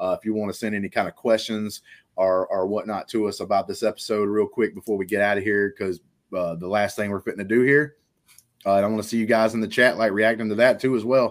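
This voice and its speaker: On a very clean recording with a silent background, a man with a Southern US accent talks at a very fast pace and a fairly low pitch. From Alabama. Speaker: pop culture podcast host. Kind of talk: casual chat. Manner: animated.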